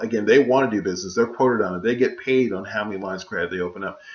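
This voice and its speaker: A man speaks with a fairly low pitch. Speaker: author and business credit educator. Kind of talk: tutorial. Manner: fast; hesitant with fillers.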